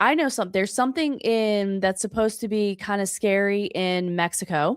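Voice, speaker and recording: At a moderate pace, an ordinary speaking voice with an American accent and ordinary pitch variation comes through a very clean recording with a silent background, dry and close with no echo. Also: woman. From US South. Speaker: podcast host. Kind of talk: casual chat.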